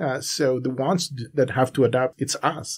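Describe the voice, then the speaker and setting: A somewhat breathy man speaks at a moderate pace. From Bolivia, La Paz. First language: Spanish. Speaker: Bible student sharing testimony. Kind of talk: casual interview.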